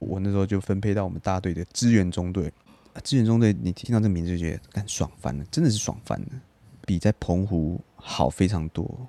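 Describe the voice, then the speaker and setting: A man with a Taiwanese accent, very deep and low in pitch, at a fairly quick pace, dry and close with no echo in a very clean recording with a silent background. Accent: Taiwanese Mandarin. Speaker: podcast co-host. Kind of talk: casual chat.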